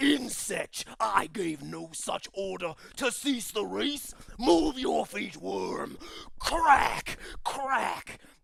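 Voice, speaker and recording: A man speaks very slowly in a put-on character voice. His pitch is high. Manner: menacing, commanding.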